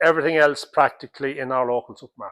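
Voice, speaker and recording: Speaking with an Irish accent, a man uses a fairly high pitch, a bright, sharp tone and ordinary pitch variation. The very clean recording has a silent background and a dry, close sound with no echo. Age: 60s. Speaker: dairy farmer. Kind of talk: interview.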